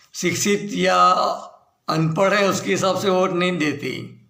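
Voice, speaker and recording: A man's high-pitched voice with audible room echo. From Gujarat, India (Bharuch). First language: Gujarati (speaking Hindi). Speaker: political commentator. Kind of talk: video monologue on politics.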